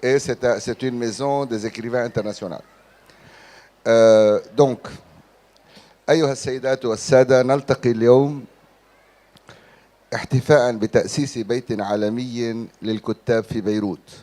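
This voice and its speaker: A man with an Arabic accent and a dark, mellow tone talks at a very slow pace, with fairly even intonation and long, frequent pauses. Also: medium pitch for a man. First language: Arabic (speaking French). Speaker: writer. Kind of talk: conference speech.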